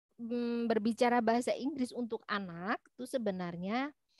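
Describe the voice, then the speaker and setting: A woman speaks fairly slowly in a high voice with ordinary pitch variation. The recording is very clean, with a silent background and a dry, close sound free of echo. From East Java, Malang. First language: Javanese (speaking Indonesian). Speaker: university lecturer. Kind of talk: lecture. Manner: halting, many fillers.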